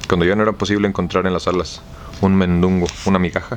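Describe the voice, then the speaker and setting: A man speaks at a very fast pace with a very deep, low pitch and monotone, flat intonation. Noticeable background noise is present. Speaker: audiobook reader. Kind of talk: audiobook novel reading.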